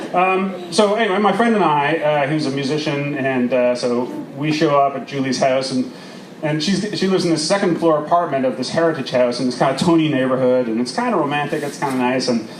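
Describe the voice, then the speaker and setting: Talking at a fairly quick pace, a man uses a fairly high pitch with ordinary pitch variation. Audible room echo and noticeable background noise are present. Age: 40s. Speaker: storyteller. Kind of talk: storytelling performance. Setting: outdoor stage with audience. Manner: animated.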